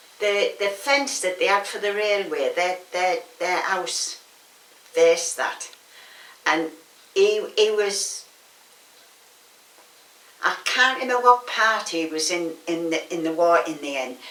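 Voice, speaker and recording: Heard over noticeable background noise, a woman with a Teesside accent talks fairly slowly at a medium pitch, with lively intonation and long, frequent pauses. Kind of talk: oral history interview answer.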